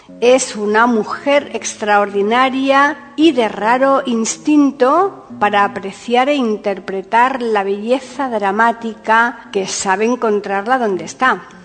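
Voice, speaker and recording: Behind noticeable background noise, a woman with a fairly high pitch talks at a very slow pace, with very even loudness and hardly any pauses. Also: ordinary pitch variation. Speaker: podcast host. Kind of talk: scripted narration, introduction and biography reading.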